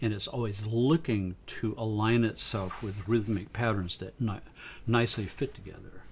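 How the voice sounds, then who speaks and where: Recorded very cleanly over a silent background, a man with a somewhat breathy voice speaks at a medium pitch and a moderate pace with fairly even intonation. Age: 70s. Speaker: sound researcher and musician. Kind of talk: live stream talk. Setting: live stream. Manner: casual, halting.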